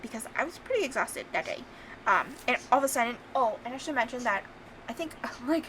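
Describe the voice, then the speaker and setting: A woman with a high pitch and ordinary pitch variation at a fairly quick pace, against noticeable background noise. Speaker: planner youtuber. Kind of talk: casual voiceover walkthrough. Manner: hesitant, many ums.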